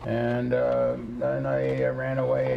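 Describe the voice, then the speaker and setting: A man at medium pitch with an American accent, with audible room echo. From New York State, US. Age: 80s+. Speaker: retired ship captain. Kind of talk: interview.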